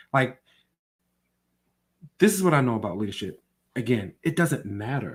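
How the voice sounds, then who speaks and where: An animated man at medium pitch, somewhat breathy, with very wide pitch swings, a moderate pace and long, frequent pauses. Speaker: podcast co-host. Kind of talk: casual chat.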